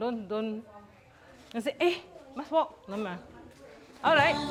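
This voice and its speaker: A woman's fairly quick speech with ordinary pitch variation over noticeable background noise. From Malaysia, Malacca Portuguese Settlement. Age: 50s. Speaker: cultural activist and dance teacher. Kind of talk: interview; dance rehearsal instruction.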